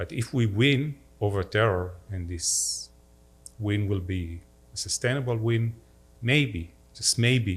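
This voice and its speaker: A man talks at a very slow pace, leaving long, frequent pauses, in a fairly low, somewhat breathy voice. His intonation is lively. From Israel, upper Galilee (Safed). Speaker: diplomat. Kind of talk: talk with audience Q&A. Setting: synagogue hall with audience, livestreamed.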